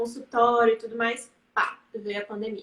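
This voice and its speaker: At a moderate pace, a woman speaks in a fairly high pitch with an ordinary speaking voice. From Bahia, Brazil (Serrinha, sertão). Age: 20s. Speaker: psychologist and writer. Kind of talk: interview on a live stream. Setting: online live stream.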